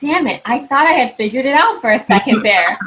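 Talking at a fairly quick pace with lively intonation, a woman has an ordinary speaking voice. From California. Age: 20s. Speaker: podcast host. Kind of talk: casual chat.

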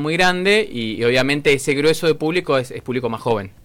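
Delivery moves at a fairly quick pace over noticeable background noise. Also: man. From Argentina, Mendoza. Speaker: rock musician. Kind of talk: interview. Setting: studio.

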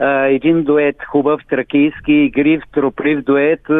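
A man's fairly high-pitched voice. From Bulgaria, Svilengrad area (Thrace). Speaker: folk singer. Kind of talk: radio interview.

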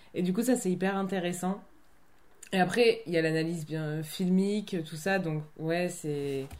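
A woman's medium-pitched voice with a dark, mellow tone, at a very slow pace with ordinary pitch variation. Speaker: theatre company member, film student. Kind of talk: casual chat.

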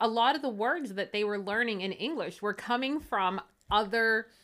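A woman's fairly high voice with lively intonation and a Pittsburgh accent, on a very clean recording with a silent background. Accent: Pittsburgh accent (Western Pennsylvania). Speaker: podcast co-host. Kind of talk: casual chat. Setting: at her own home.

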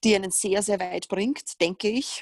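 In a Viennese accent, a woman talks at a moderate pace in a dry, close sound with no echo. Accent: Viennese Austrian German. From Austria, Vienna. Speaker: fitness coach and trainer educator. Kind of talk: casual interview chat.

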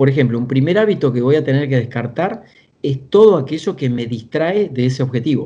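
Speaking at a fairly quick pace, a man with a medium pitch and a dark, mellow tone sounds somewhat breathy, his intonation lively. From Argentina, small town south of Buenos Aires. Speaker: executive coach and author. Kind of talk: interview conversation.

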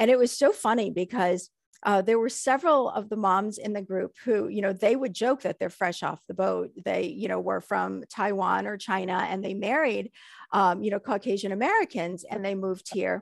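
A woman at medium pitch talks at a moderate pace with vocal fry and ordinary pitch variation, the sound dry and close with no echo against a quiet background. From United States, child of Hong Kong immigrants. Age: 40s. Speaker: guest sharing life story. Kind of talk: interview.

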